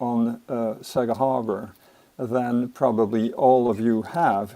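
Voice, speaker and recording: This man speaks at a very slow pace with a French accent. His tone is dark and mellow. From France. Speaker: resident speaking at public hearing. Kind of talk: public comment at hearing. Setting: video call. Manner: hesitant, many fillers.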